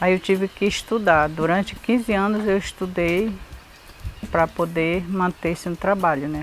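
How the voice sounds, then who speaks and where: Noticeable background noise runs behind a woman who speaks fairly slowly at a medium pitch with fairly even intonation. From Brazil, Pará (Santarém area quilombola community). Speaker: retired community member. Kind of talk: testimony.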